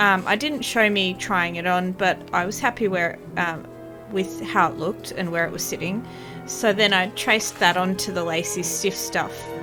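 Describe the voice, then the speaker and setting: With music in the background, a woman talks at a moderate pace in a medium pitch, her intonation lively. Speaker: bead embroidery crafter. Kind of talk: tutorial voice-over narration. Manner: hesitant, casual, with filler words.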